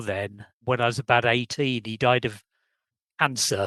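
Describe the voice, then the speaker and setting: Against a quiet background, a man with an English accent is heard with a dry, close sound and no echo. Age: 70s. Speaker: adoptee searching for birth family. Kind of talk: casual interview chat.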